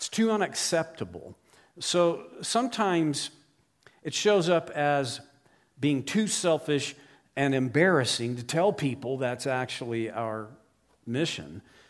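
With an American accent, a man speaks at a fairly high pitch using very wide pitch swings. Long, frequent pauses break up his speech. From Oklahoma, US. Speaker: guest preacher. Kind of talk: sermon. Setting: church.

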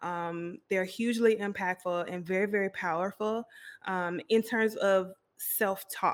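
A woman with an unremarkable speaking voice talks at a medium pitch with fairly even intonation in a very clean recording with a silent background. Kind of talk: casual interview.

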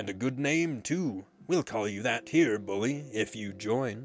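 A man bellows in a put-on character voice at medium pitch. He keeps a moderate pace. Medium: read story. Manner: roaring, gloating.

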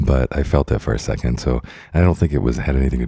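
Here a man talks with an American accent. His pitch is very deep and low. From Idaho, US. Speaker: podcast host. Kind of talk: casual chat. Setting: office.

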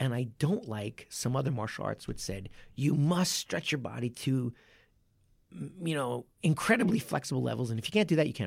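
At a fairly quick pace, a man with a fairly high pitch uses very wide pitch swings and vocal fry. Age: 40s. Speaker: martial arts coach and podcast host. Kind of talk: casual chat.

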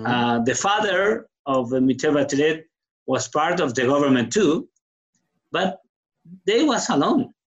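A man speaks very slowly in a strong Chilean accent, with long, frequent pauses. His fairly high voice swings very widely in pitch. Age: 60s. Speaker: guest telling his story. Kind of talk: casual conversation, interview. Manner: halting, struggles with English.

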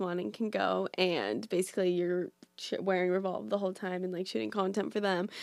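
A woman talks with an American accent. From US West Coast, Orange County, California. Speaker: social media influencer. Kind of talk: casual chat. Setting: in person in Brooklyn.

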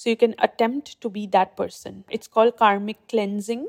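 A woman with a plain, everyday voice and fairly high pitch is heard in a dry, close sound with no echo. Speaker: meditation guide. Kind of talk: guided meditation. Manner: slow, soft, soothing; calm, gentle, measured.

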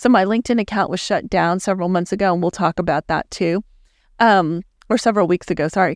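Speaking very fast with an American accent, a woman uses a medium pitch and ordinary pitch variation, recorded very cleanly with a silent background and a dry, close sound with no echo. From Texas, El Paso. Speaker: digital marketing agency owner. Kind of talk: casual interview. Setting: studio.

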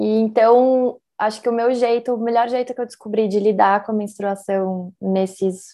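This woman's pitch is fairly high. She talks at a fairly slow pace. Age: 30s. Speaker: visual artist. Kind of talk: casual chat.

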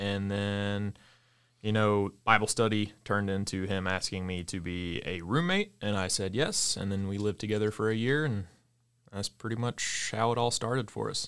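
Recorded very cleanly against a silent background, a man with an American accent and a plain, everyday voice speaks at a moderate pace, his fairly low pitch showing ordinary variation. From US South, Mississippi. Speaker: coffee shop co-owner. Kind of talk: interview.

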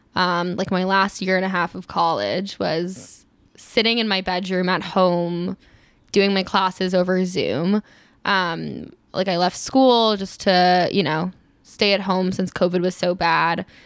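A woman's normal speaking voice, medium in pitch and fairly slow, in a very clean recording with a silent background. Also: fairly even intonation. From US East Coast. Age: 20s. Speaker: podcast guest. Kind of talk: casual chat.

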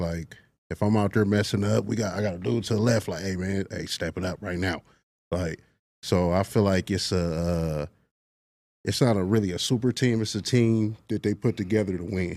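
The recording is very clean with a silent background, carrying an ordinary speaking voice at a moderate pace with ordinary pitch variation. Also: man, fairly low pitch for a man. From Los Angeles. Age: 30s. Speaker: semi-pro football player. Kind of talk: casual interview. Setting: studio.

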